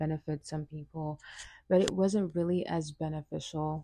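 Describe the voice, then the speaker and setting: A woman's dark, mellow voice at a moderate pace and fairly low pitch, in a dry, close sound with no echo and a quiet background. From Senegal. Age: 20s. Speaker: podcast host, college student. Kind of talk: solo monologue, personal reflection. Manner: casual with frequent fillers and restarts.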